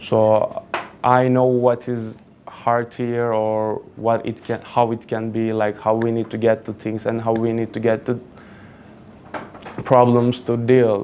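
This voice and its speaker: A man with a Turkish accent, medium pitch and monotone, flat intonation. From Turkey, Kuşadası (Aegean coast). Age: 20s. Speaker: student speaker. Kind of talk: personal talk to an audience. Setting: stage with audience. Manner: casual, halting with fillers.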